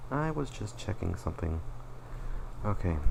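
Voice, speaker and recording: A man speaks with very wide swings in pitch. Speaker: animator and channel owner. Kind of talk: personal retrospective presentation. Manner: slurred words; halting, self-correcting.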